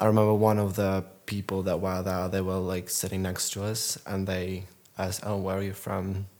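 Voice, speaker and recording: A man speaks in a very deep, low voice with a monotone, flat intonation. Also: moderate pace. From Ukraine. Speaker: Ukrainian refugee. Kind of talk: personal anecdote.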